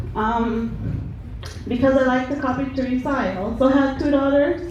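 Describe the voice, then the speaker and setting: Through noticeable background noise and audible room echo, a woman speaks at a high pitch. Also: fairly even intonation, moderate pace. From Ecuador. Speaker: chef. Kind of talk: workplace presentation.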